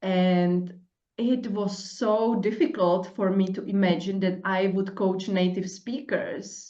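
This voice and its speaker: In a strong Czech accent, the speaker moves at a very slow pace with fairly even intonation, and audible room echo surrounds the voice. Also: woman, medium pitch for a woman. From Czech Republic. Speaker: podcast host, coach. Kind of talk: casual interview chat. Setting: podcast.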